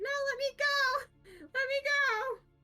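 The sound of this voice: Over music in the background, a squeaky put-on character voice speaks at an extremely high pitch.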